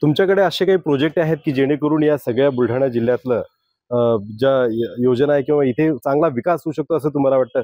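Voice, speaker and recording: The speaker has a normal speaking voice with ordinary pitch variation. The loudness stays very even. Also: man, fairly high pitch for a man. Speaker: news editor and interviewer. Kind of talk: interview questions.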